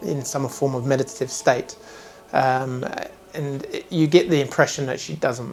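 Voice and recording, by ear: Reading aloud in a natural voice, with fairly even intonation.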